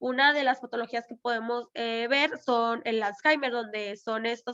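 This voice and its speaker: A woman's bright, sharp tone, high in pitch, at a moderate pace against a quiet background. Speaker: lecturer. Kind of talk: lecture. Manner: halting, many fillers.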